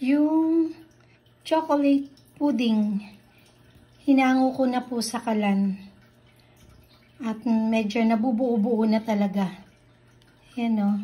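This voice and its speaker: Very slowly and with long, frequent pauses, a woman speaks in a dark, mellow tone with ordinary pitch variation. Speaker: cooking vlogger. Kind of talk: cooking tutorial. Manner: casual, with fillers and restarts.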